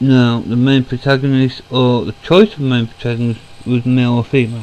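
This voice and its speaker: A man talks at a medium pitch and a fairly slow pace. Noticeable background noise runs underneath. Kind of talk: casual talk to camera. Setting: home recording, computer fan noise.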